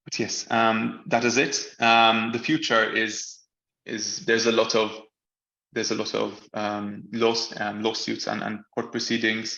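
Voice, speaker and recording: Fairly slow, monotone, flat delivery from a man, with vocal fry and a bright, sharp tone. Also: medium pitch for a man. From Malta. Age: 20s. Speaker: law graduate and press freedom advocate. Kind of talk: online talk presentation. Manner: halting, many fillers and repetitions.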